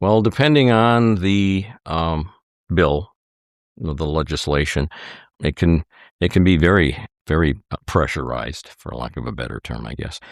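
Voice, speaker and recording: A man with an Upper Midwest accent speaks at a moderate pace in a very deep, low pitch with very wide pitch swings. He leaves long, frequent pauses on a very clean recording with a silent background. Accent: Upper Midwest American. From Wisconsin (Hartford). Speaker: former state legislator. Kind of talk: interview.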